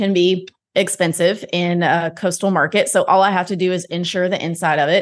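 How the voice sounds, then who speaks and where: A woman speaks at a moderate pace with fairly even intonation. She has an unremarkable speaking voice. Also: quiet background. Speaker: podcast host and real estate investor. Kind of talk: casual interview.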